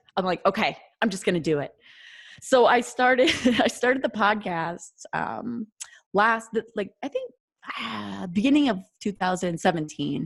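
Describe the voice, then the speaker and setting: A woman with a North Dakota accent talks at medium pitch with vocal fry and lively intonation. Her moderate pace is marked by long, frequent pauses, on a very clean recording with a silent background. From North Dakota, US. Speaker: occupational therapist and podcaster. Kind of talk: podcast interview, casual chat. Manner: many fillers like 'you know' and 'um'.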